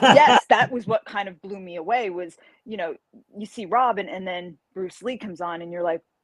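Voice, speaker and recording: A woman with a New York accent speaks at medium pitch and a moderate pace, with ordinary pitch variation and big swings in loudness, in a dry, close sound with no echo. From New York, Carmel. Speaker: martial artist and fantasy author. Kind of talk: podcast interview. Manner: animated.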